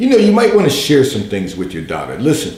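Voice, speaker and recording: A man with a somewhat breathy voice and lively intonation speaks amid audible room echo. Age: 60s. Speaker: pastor giving advice on call-in show. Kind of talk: advice broadcast monologue. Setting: livestream broadcast.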